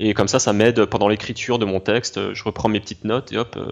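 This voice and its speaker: At a moderate pace, a man talks in a fairly low pitch. His intonation is monotone and flat. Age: 20s. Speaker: YouTuber reviewing browser games. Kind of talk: interview. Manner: halting, many repetitions and fillers.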